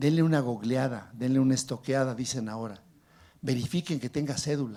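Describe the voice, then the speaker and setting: Heard in a very clean recording with a silent background, a man with a Mexican accent speaks at a moderate pace, somewhat breathy, with a dark, mellow tone. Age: 60s. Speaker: legislator and physician. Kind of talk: panel discussion. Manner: animated.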